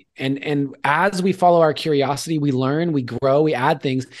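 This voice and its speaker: A man with a fairly high pitch and ordinary pitch variation has an unremarkable speaking voice. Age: 30s. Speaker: artist and entrepreneur, mentor. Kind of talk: interview.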